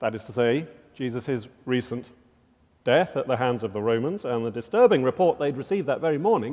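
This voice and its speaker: In a British accent, a man speaks at a moderate pace with a medium pitch, a dark, mellow tone, and lively intonation. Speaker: professor and chapel speaker. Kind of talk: chapel talk; scripture reading. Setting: college chapel with audience.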